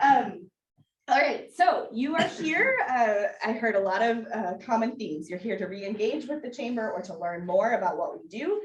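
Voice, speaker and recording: A woman with an American accent speaks at a fairly high pitch, her pitch swinging very widely. Her loudness varies a lot, and there is audible room echo. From Wisconsin, Washington County. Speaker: business council staff presenter. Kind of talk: orientation presentation. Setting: in-person room with audience. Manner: fast.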